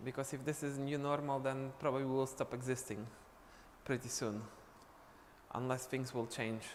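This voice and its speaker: A man speaks with a Polish accent. His pitch varies in an ordinary way. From Poland. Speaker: dance teacher. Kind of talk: live stream chat. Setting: live online stream.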